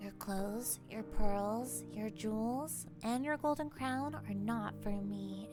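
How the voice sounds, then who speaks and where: A female-sounding put-on character voice moves at a fairly slow pace with hardly any pauses over loud background music. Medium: read story. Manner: earnest, insistent.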